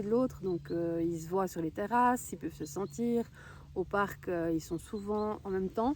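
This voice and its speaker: In an ordinary speaking voice, a woman talks at a moderate pace and medium pitch, with ordinary pitch variation. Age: 30s. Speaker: horse owner. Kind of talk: casual talk to camera. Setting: outdoors.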